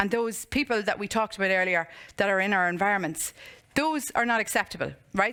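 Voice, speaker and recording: With an Irish accent, a woman speaks at a moderate pace. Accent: Monaghan Irish. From Ireland, County Monaghan. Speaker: motivational speaker and coach. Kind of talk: conference talk with Q&A. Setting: stage with audience. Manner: animated.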